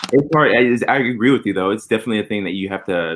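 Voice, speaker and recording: A man with an American accent talks at a very fast pace. His pitch varies in an ordinary way. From Texas, Houston. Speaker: podcast host. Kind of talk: casual chat.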